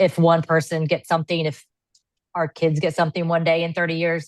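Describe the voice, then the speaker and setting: At a fairly quick pace, a woman speaks with a fairly low pitch. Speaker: podcast co-host sharing life story. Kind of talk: casual podcast chat. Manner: loud, excitable.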